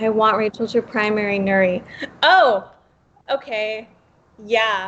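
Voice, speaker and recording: Speaking with an American accent, a woman sounds animated, her fairly high pitch moving with ordinary variation. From Los Angeles, Pacoima (San Fernando Valley). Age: 20s. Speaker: political podcast panelist and campaign organizer. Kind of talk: casual chat. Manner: animated, emotional.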